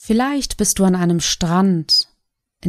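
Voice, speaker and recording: A woman speaks in a calm, soothing tone. Her fairly low voice has lively intonation. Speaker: meditation guide. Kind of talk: guided meditation. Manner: slow, calm, soothing, with long pauses; soft-spoken, gentle.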